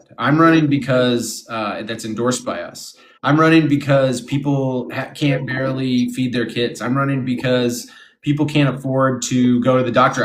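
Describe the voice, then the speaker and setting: A man talks at medium pitch and a moderate pace. His intonation is fairly even, with audible room echo. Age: 30s. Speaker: political candidate. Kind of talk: interview.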